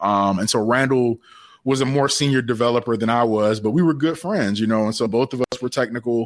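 A man with a normal speaking voice and an American accent talks at a fairly quick pace with very even loudness and ordinary pitch variation, in a dry, close sound with no echo. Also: medium pitch for a man. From US South, Savannah, Georgia. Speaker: tech entrepreneur, app development founder. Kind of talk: interview. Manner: casual, with many fillers.

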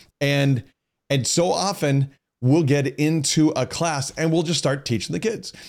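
A plain, everyday voice belongs to a man pitched fairly high. He talks at a fairly slow pace with ordinary pitch variation. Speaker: podcast host. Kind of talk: casual chat. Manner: joking, playful.

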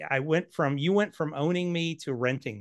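A man's normal speaking voice at a fairly slow pace, with ordinary pitch variation and a quiet background. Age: 50s. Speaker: financial planner and author. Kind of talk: casual interview.

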